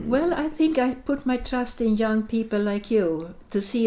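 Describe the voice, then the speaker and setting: In a Latvian accent, a woman talks at a fairly slow pace with lively intonation. Her tone is dark and mellow. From Sweden (born in Latvia, fled as a child). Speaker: interviewee, wartime refugee. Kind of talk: interview. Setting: Riga. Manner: halting.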